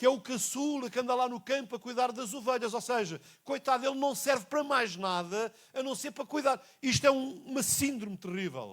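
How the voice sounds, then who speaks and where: Speaking at a fairly quick pace with a European Portuguese accent, a man uses an extremely high pitch. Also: ordinary pitch variation. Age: 60s. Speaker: pastor. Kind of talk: sermon. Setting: church. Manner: repetitive, emphatic.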